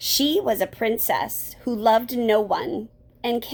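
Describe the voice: A plain read-aloud with ordinary rises and falls in pitch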